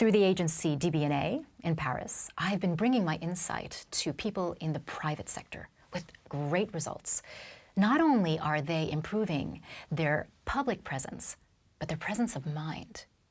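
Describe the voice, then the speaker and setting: Very clean recording, silent background, with a woman speaking at a moderate pace. Her fairly low, somewhat breathy voice carries lively intonation. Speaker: voice and public speaking coach. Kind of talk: interview, explaining technique.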